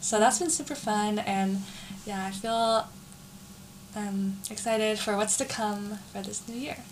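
Somewhat breathy, a woman with an American accent speaks at a fairly slow pace with ordinary pitch variation and long, frequent pauses. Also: fairly high pitch for a woman. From San Jose, California. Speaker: college student. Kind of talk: casual chat.

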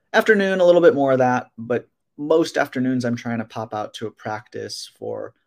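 With an American accent and lively intonation, an ordinary speaking voice comes across on a very clean recording with a silent background. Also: man. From Wisconsin, Waukesha near Milwaukee. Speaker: sports psychologist. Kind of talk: casual interview.

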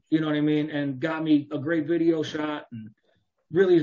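A man talks fairly quickly in an American accent, his pitch fairly high. He has a plain, everyday voice. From Chicago area, US Midwest. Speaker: rapper. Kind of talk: casual interview.

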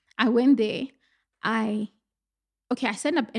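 In a very clean recording with a silent background and a dry, close sound with no echo, a woman speaks at a fairly quick pace in a somewhat breathy, fairly high voice. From North West, South Africa. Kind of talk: casual interview chat.

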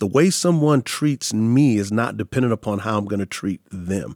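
In a very clean recording with a silent background and a dry, close sound with no echo, a man with an American accent speaks at a moderate pace in an animated tone, with ordinary pitch variation and a fairly low pitch. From Texas, San Antonio. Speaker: pastor and author. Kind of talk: interview.

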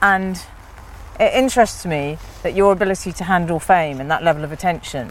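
A woman in an ordinary speaking voice talks at a fairly quick pace, with a fairly low pitch and ordinary pitch variation. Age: 40s. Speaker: podcast host. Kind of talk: casual chat. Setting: outdoors.

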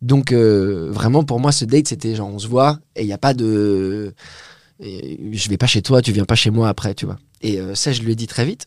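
This is an ordinary speaking voice, at a moderate pace. Its pitch variation is ordinary. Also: man, medium pitch for a man. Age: 20s. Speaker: poet. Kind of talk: casual chat.

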